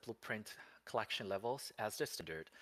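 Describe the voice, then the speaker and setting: Speaking with a non-native accent, a man with a fairly low pitch talks at a moderate pace with lively intonation. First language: not English. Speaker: game studio representative. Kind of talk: livestream Q&A. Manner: halting; reading from notes.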